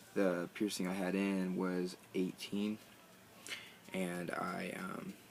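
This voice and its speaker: In a very deep, low pitch, a man talks with monotone, flat intonation. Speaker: vlogger. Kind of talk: casual video tutorial. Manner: halting, many fillers and pauses.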